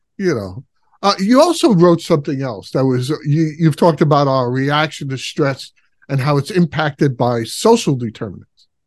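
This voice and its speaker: In an ordinary speaking voice, a man speaks at a moderate pace with a fairly high pitch and lively intonation. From Brooklyn, New York. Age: 60s. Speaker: podcast host. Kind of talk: podcast interview.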